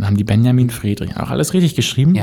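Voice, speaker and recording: A man's voice at medium pitch. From Mecklenburg-Vorpommern, Germany. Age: 30s. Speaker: podcast co-host. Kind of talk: casual chat.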